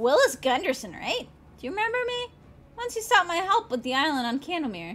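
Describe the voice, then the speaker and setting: A high-pitched, put-on character voice with very wide pitch swings at a fairly quick pace. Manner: hollow, distant.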